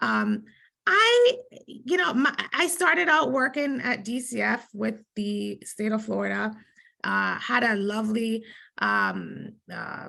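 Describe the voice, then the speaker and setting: A woman with a Jamaican accent speaks at a very slow pace. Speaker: lawyer. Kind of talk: conference panel talk.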